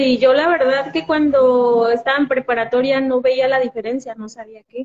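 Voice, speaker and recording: In a Mexican accent, a woman talks at a fairly slow pace. Her voice is high-pitched. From Mexico, Jalisco. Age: 20s. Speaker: physiotherapist. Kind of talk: interview.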